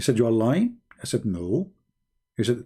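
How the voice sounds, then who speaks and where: A dark, mellow, somewhat breathy tone on a very clean recording with a silent background. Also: man. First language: not English. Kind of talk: live stream monologue.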